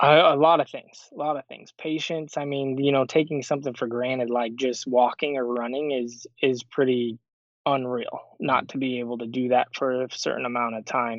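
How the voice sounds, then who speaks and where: A man speaks at a moderate pace with hardly any pauses. His intonation is monotone and flat. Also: medium pitch for a man. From Arizona. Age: 30s. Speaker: professional disc golfer. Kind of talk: interview.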